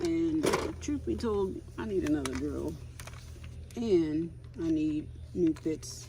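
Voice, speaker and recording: Noticeable background noise runs under speech at a very slow pace with long, frequent pauses. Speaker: DIY vlogger restoring a travel trailer. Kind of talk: casual DIY vlog narration. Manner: loud.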